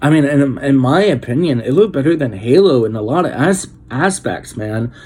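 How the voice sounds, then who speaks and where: A man talks at a moderate pace with lively intonation and a medium pitch. Noticeable background noise runs behind him. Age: 30s. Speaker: gaming vlogger. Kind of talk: casual vlog. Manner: stutters; animated.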